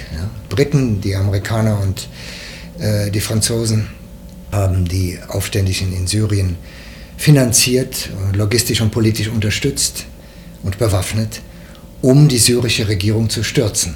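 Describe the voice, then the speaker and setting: Fairly low-pitched male speech at a fairly slow pace, broken by long, frequent pauses, with noticeable background noise and audible room echo. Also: ordinary pitch variation. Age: 70s. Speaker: former TV news editor and foreign correspondent. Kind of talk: interview. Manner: halting, frequent fillers.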